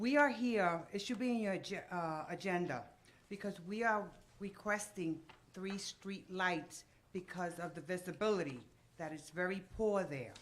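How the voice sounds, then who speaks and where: With audible room echo, a woman talks at a medium pitch and with ordinary pitch variation. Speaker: resident speaking at public meeting. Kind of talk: public comment at council meeting. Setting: council meeting with microphone. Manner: loud.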